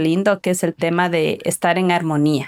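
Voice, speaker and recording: Recorded dry and close with no echo against a silent background, a woman speaks at a moderate pace on a very clean track. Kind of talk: podcast conversation.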